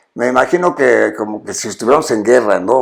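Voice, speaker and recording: At a fairly quick pace, a medium-pitched man talks with vocal fry. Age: 80s+. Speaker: TV show host. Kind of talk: interview conversation. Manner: halting, many fillers and restarts.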